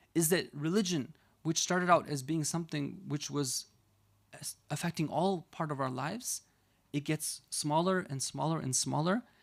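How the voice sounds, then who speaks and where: On a very clean recording with a silent background, a man talks at a fairly high pitch and a moderate pace in an ordinary speaking voice with ordinary pitch variation. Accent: American. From United States. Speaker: Islamic scholar and preacher. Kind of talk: religious lecture.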